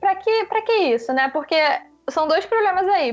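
There is noticeable background noise. The speaker is a woman. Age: 20s. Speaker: journalist. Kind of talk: interview.

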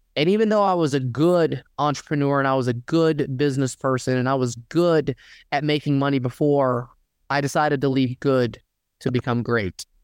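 A plain, everyday voice from a man with an American accent, fairly high in pitch with ordinary pitch variation, moderate pace and very even loudness, dry and close with no echo against a quiet background. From US South, Dalton, Georgia. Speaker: personal injury lawyer. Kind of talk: interview.

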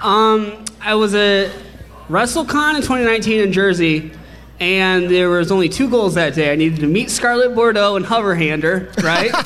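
A man talks at a moderate pace, his pitch high and its variation ordinary. His loudness stays very even over noticeable background noise. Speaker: wrestling podcaster guest. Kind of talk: casual chat, comedic banter.

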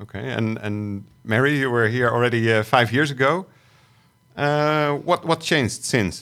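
With an unremarkable speaking voice, a man speaks at a fairly slow pace and medium pitch with ordinary pitch variation, on a very clean recording with a silent background. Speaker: podcast co-host. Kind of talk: podcast panel discussion. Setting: studio.

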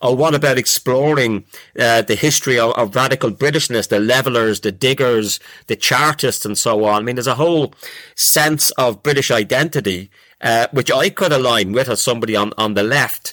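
A man with a Dublin accent talks at a fairly quick pace and medium pitch, his tone bright and sharp and his loudness very even, in a dry, close sound with no echo. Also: ordinary pitch variation. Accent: Dublin Irish. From Ireland, Dublin. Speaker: professor. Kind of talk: casual chat. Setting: video call.

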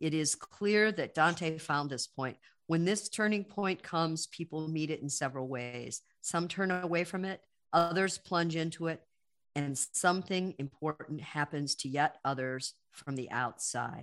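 The background is quiet as a woman speaks with a very deep, low pitch. Her pitch varies in an ordinary way. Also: fairly slow pace. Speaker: podcast interviewer. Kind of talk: interview.

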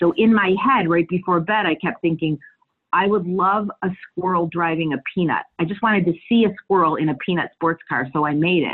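This woman has an unremarkable speaking voice, fairly low in pitch, with ordinary pitch variation and a moderate pace. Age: 50s. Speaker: actress and improviser. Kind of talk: casual interview chat.

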